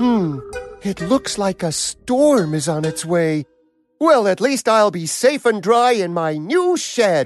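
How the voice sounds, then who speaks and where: Cartoonish character voice at a middle pitch and fairly slow pace, with faint music in the background. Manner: haughty, pompous.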